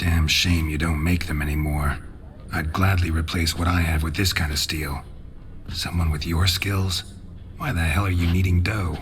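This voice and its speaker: A man puts on a character voice, pitched very deep and low, at a moderate pace. Background noise is clearly audible. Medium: machinima. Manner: terse, deadpan.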